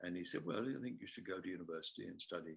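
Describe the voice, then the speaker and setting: Here a man speaks in a very deep, low pitch. He has a southern English accent. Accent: English (southern RP-like). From England, Kingston upon Thames. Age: 60s. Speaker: theatre artistic director and actor. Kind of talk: casual interview chat in webinar. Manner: halting, many fillers.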